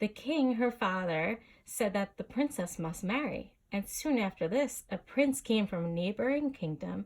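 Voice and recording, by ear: Lively intonation marks this reading aloud in a natural voice.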